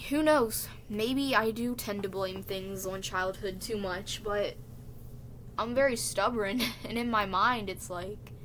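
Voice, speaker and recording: A quiet woman's voice comes at a fairly slow pace, medium in pitch with ordinary pitch variation. Audible room echo is present. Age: 20s. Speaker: vlogger. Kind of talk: casual monologue.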